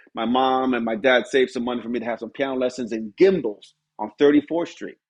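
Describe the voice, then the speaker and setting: A man talks at a fairly quick pace with a New York accent. His voice sits at a medium pitch. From New York City, Spanish Harlem. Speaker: music producer and pianist. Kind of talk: interview conversation.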